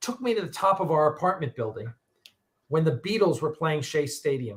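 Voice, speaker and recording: With a New York accent, a man talks at a moderate pace, his pitch swinging very widely. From New York, Long Island. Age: 60s. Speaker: podcast host. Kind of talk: casual chat. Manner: halting.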